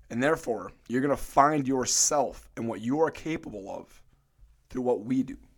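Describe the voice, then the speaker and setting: A plain, everyday voice moves at a moderate pace, its pitch varying in an ordinary way. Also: man, medium pitch for a man. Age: 20s. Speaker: fitness coach. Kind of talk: casual chat. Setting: studio.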